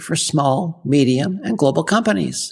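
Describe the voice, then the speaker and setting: A woman with a Canadian accent speaks with very wide pitch swings. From Canada, Ottawa. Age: 60s. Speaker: podcast host. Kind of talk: scripted podcast monologue.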